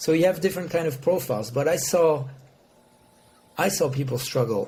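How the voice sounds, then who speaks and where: In a French accent, a man speaks with a fairly high pitch and a dark, mellow tone. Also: ordinary pitch variation. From France. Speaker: motorsport sponsorship executive. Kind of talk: podcast interview. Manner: halting.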